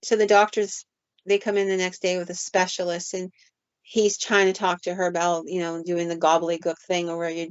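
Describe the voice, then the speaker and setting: A woman speaks in a normal speaking voice, fairly low in pitch. Her intonation is fairly even and her pace moderate. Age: 60s. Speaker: paranormal podcast host and storyteller. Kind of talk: storytelling in casual podcast chat.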